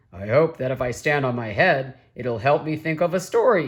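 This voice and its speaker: A woman's raspy put-on character voice at a very deep, low pitch and a moderate pace. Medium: read story. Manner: slow, grumbling.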